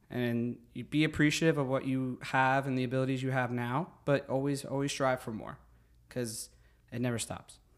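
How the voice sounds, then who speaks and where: A man with a New Jersey accent, medium in pitch, at a moderate pace, on a very clean recording with a silent background. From New Jersey (Secaucus). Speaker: fitness instructor and teacher. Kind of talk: casual interview. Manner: animated.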